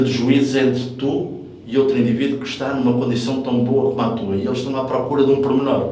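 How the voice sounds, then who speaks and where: Over noticeable background noise and audible room echo, a man speaks fairly quickly at a medium pitch with flat, monotone intonation. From South Africa. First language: English (speaking Portuguese). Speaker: veteran bodybuilder and gym owner. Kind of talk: coaching advice chat. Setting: gym. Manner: hesitant fillers.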